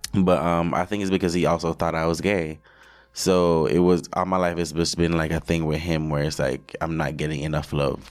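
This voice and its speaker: At a moderate pace and with fairly even intonation, a man with a very deep, low pitch speaks in a Jamaican accent. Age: 20s. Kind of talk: casual interview chat.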